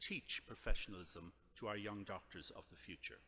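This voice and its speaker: A man with an Irish accent. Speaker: surgeon and professor. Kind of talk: lecture. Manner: formal.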